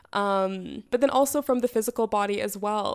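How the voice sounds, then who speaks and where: A woman's ordinary speaking voice with a Canadian accent and ordinary pitch variation. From Canada. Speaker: podcast host, theorist and writer. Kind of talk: solo reflective monologue.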